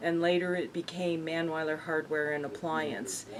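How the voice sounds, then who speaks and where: This woman speaks with an American accent at a fairly low pitch. Her pace is moderate and her intonation monotone and flat. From Colorado, Windsor. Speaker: local business owner. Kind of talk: oral history interview. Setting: hardware store.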